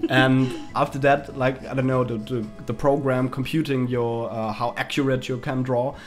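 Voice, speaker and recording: Music plays in the background as a man speaks at a moderate pace. His pitch is medium and his intonation is monotone and flat. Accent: German. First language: German. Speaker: gaming YouTuber. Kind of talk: casual chat. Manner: halting, many fillers.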